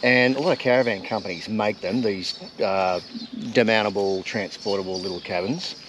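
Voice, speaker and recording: Noticeable background noise sits behind a man with an Australian accent who talks at a moderate pace, his fairly low pitch showing ordinary pitch variation. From rural Australia. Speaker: travel vlogger. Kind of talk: casual chat. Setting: outdoors.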